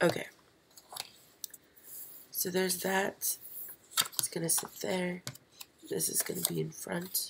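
Long, frequent pauses at a fairly slow pace, with noticeable background noise. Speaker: pop-up card maker. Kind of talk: live stream craft tutorial. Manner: casual, hesitant.

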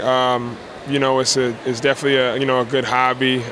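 Against noticeable background noise, a man speaks with monotone, flat intonation in dry sound with no echo. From South Jersey; New Jersey. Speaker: professional basketball player. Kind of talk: interview. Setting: fashion show event. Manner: halting, many fillers. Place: bar. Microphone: handheld.

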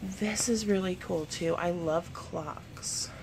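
A woman's fairly low voice amid noticeable background noise. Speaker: mother vlogger. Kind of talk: casual vlog chat. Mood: upbeat, enthusiastic. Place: shop. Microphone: phone near.

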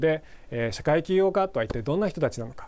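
A man's intonation stays lively while his pace remains moderate. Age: 40s. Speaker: university professor. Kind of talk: lecture. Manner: hesitant fillers.

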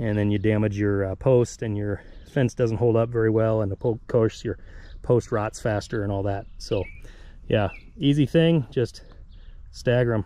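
A man's dark, mellow voice at medium pitch, with fairly even intonation, a moderate pace, and long, frequent pauses. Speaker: farmer vlogger. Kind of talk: casual tutorial vlog while working. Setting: outdoors. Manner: casual, halting, unscripted.

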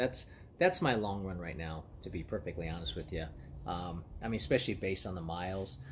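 This is a man speaking with light background noise. His pitch varies in an ordinary way. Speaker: runner vlogger. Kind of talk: casual vlog chat. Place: garden. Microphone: phone near.

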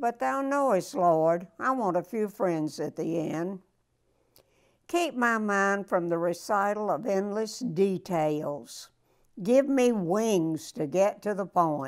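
A woman at a very slow pace, lively intonation over a quiet background. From Florida, USA. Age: 80s+. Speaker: elderly woman sharing wisdom. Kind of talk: prayer reading. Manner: spunky. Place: home room. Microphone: lapel.

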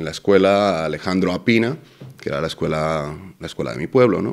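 Very deep, low male voice at a fairly quick pace with ordinary pitch variation against a quiet background. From Dominican Republic, moved to Spain at 12. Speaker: political candidate; candidate. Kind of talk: interview. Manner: hesitant, many fillers. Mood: relaxed, thoughtful.

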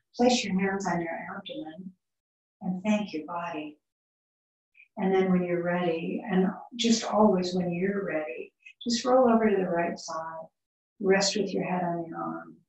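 Against a quiet background with audible room echo, a woman speaks at a fairly slow pace with long, frequent pauses and ordinary pitch variation. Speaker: yoga teacher. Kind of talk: guided relaxation in shavasana; guided yoga class instruction. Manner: soft, soothing, slow. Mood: calm, soothing. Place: home room. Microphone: camera far.

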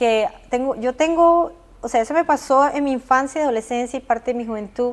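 A woman speaks in a high voice at a fairly quick pace. Her pitch varies in an ordinary way. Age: 40s. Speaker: abuse survivor. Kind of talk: testimony. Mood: emotional personal testimony. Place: studio. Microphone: lapel.

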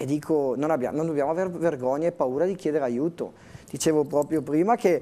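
This man talks at a fairly quick pace with a fairly high pitch. His tone is dark and mellow, and his pitch varies in an ordinary way. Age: 30s. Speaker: interview guest. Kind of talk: TV interview. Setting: TV studio. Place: studio. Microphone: lapel.

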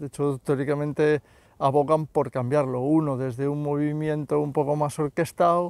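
Against a quiet background with a dry sound and no echo, a man speaks at a moderate pace in a monotone, flat intonation. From Spain. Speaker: YouTuber commentator. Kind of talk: casual monologue vlog. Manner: halting, many fillers and repetitions. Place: open country. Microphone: phone near.

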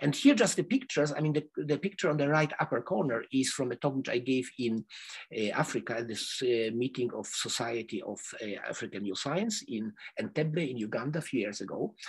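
A man with a medium-pitched, somewhat breathy voice talks at a fairly quick pace with lively intonation. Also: quiet background. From Poland (Krakow). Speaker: neuroscience researcher. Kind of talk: lecture. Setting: video call. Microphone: headset.

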